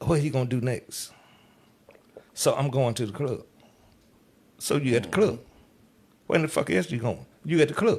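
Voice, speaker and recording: A man with a medium-pitched voice speaks at a moderate pace, with a somewhat breathy quality. His tone is animated and his intonation lively. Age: 60s. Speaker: club DJ. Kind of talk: casual interview chat.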